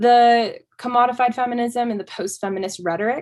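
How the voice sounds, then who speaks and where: A woman with an American accent has an unremarkable speaking voice. She talks at a moderate pace with ordinary pitch variation against a quiet background. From Colorado, US. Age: 20s. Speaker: feminist advocate interviewee. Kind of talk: interview. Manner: casual, many fillers.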